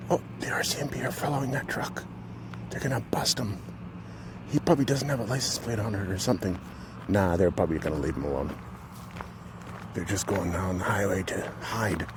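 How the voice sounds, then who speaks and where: A soft-spoken man whispers at a fairly quick pace with long, frequent pauses over noticeable background noise. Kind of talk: casual talk to camera, walking vlog. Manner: soft-spoken, whispered.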